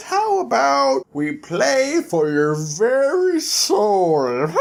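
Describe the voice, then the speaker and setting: A put-on character voice sits at a middle pitch and moves at a very slow pace. Light background noise runs underneath. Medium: read story. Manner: smug, tempting.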